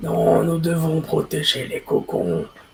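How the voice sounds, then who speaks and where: Using a put-on character voice, a man speaks in a raspy tone at a fairly slow pace. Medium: actual play. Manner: servile yet ominous.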